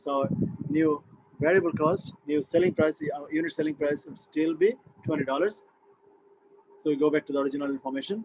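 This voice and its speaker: A man with a fairly high pitch, a fairly quick pace, ordinary pitch variation, and long, frequent pauses. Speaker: accounting instructor. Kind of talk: lecture. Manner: fast; halting.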